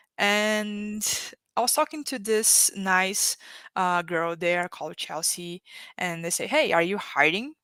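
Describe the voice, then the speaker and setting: A woman with a Brazilian Portuguese accent speaks at a very slow pace in a bright, sharp voice of medium pitch, recorded very cleanly with a silent background. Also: lively intonation. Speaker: economic development worker, panel guest. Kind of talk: live-streamed panel interview. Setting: livestream.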